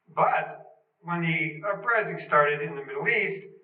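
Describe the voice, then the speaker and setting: The pitch varies in an ordinary way. The room echo is audible. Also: man. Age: 60s. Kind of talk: talk in a group discussion.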